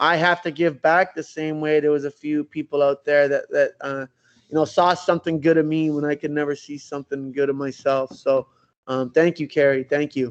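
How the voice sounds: At a moderate pace, a man speaks with a clear, smooth tone, fairly high in pitch, with little pitch movement.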